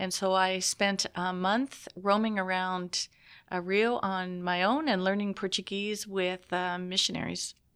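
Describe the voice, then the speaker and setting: An ordinary speaking voice, a woman at medium pitch with fairly even intonation and a fairly slow pace, in a very clean recording with a silent background. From southern Ontario, Canada (Richmond Hill, near Toronto). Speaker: senior diplomat. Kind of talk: interview.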